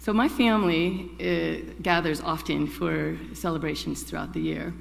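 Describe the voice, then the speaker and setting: A woman talks at a very slow pace with audible room echo around her. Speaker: congregation member, chalice lighter. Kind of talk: personal reflection and poetry reading. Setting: church service.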